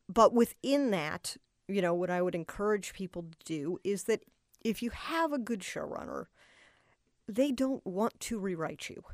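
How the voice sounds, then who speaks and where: A woman with an American accent and an unremarkable speaking voice, at medium pitch with lively intonation, big swings in loudness and a moderate pace, in a very clean recording with a silent background and a dry, close sound with no echo. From Boston, US. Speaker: television writer-producer. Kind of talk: interview.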